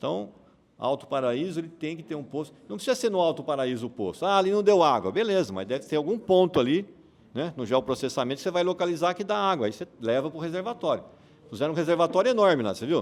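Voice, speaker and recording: A very fast-talking man with a fairly high pitch and very wide pitch swings. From Brazil, Bauru (São Paulo state). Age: 60s. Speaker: mayoral candidate. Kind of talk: campaign speech to audience. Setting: breakfast meeting with audience. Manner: conversational, engaging audience.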